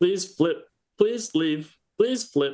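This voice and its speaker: Putting on a character voice, a man speaks in a high pitch. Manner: pleading.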